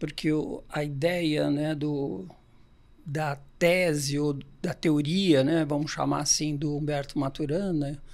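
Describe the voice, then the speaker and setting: This man speaks very slowly, his fairly high voice held to a fairly even intonation. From Brazil, Santos (São Paulo state). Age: 60s. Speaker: organizational consultant. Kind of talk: podcast interview.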